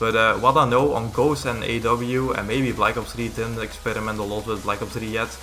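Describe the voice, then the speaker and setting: Amid music in the background and audible room echo, a man at a medium pitch talks at a fairly quick pace with hardly any pauses and fairly even intonation. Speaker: gaming YouTuber. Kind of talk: tutorial. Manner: halting.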